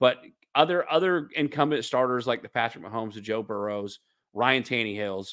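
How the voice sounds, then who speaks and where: A man with a Southern US accent at a medium pitch, fairly quick pace, ordinary pitch variation and big swings in loudness, on a very clean recording with a silent background. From US South. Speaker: football podcast co-host. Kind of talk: casual sports discussion.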